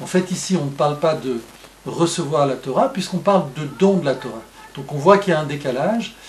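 It's a man talking. There is some light noise in the background. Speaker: religious teacher. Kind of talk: lecture. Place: home room. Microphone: webcam.

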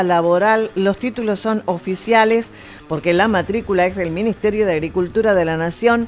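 This is a woman speaking. There is noticeable background noise in the recording. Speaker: radio co-host. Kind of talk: casual chat and reading ads. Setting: studio.

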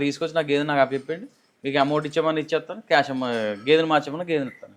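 A fairly high-pitched man with fairly even intonation and a normal speaking voice. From East Godavari, Andhra Pradesh. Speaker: dairy farmer. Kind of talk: interview.

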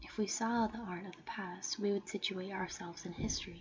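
Soft-spoken delivery at a moderate pace over light background noise. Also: woman. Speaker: ASMR creator. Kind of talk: ASMR soft-spoken reading of an essay for sleep. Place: home room. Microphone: studio mic.

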